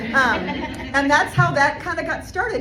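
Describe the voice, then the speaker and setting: A woman speaks at a very fast pace in an animated tone. Noticeable background noise and audible room echo surround her voice. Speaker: motivational speaker. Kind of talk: keynote speech. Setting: stage with audience.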